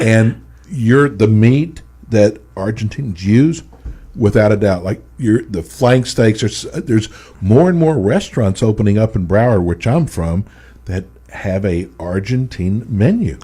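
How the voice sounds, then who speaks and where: Speaking with an American accent at a fairly slow pace, a man sounds somewhat breathy, his fairly low pitch carrying lively intonation and a dark, mellow tone. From Texas. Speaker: radio host. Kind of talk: radio interview.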